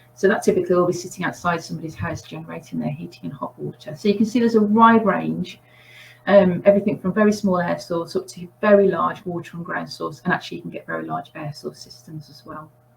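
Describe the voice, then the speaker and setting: Noticeable background noise runs beneath a woman talking at a very fast pace. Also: big swings in loudness. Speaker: heat pump specialist, presenter. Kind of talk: webinar presentation.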